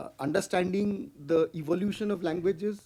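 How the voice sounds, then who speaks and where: Speaking with a Bengali accent, a man has a dark, mellow tone, ordinary pitch variation and a moderate pace. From India, Bengal. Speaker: conference speaker. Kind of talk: lecture. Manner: halting, many fillers.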